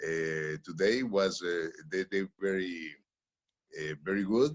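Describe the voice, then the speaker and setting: A man speaks at a very slow pace. His pitch is very deep and low, with ordinary pitch variation. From Honduras. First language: Spanish. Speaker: panelist. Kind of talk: webinar panel remarks. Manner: halting.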